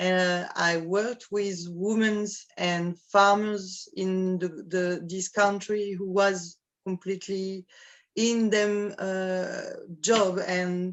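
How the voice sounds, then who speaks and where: In a French accent, the voice moves very slowly with monotone, flat intonation. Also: woman. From France, Normandy. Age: 50s. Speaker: coffee producer. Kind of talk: interview. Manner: halting.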